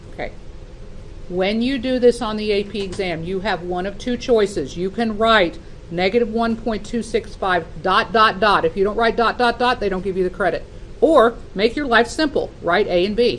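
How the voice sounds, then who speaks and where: A woman's normal speaking voice, fairly high in pitch, with ordinary pitch variation and a moderate pace. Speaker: math teacher. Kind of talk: classroom lecture.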